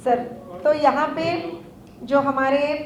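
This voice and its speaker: A woman with a Telangana accent, noticeable background noise and audible room echo. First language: Telugu (speaking Hindi). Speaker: organisation office-bearer. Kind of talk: public speech. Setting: stage with audience. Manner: halting.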